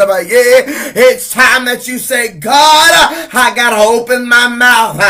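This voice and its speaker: Over noticeable background noise, a man speaks in a raised, projected voice at an extremely high pitch. His pace is fairly slow. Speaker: evangelist preacher. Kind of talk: sermon. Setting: live broadcast to online viewers. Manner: repetitive, fervent, rhythmic.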